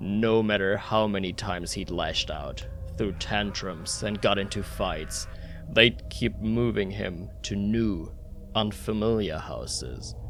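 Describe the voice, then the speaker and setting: Over clear background noise, a man uses a put-on character voice, fairly low in pitch and at a fairly slow pace. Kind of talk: horror narration. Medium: read story. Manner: measured, ominous.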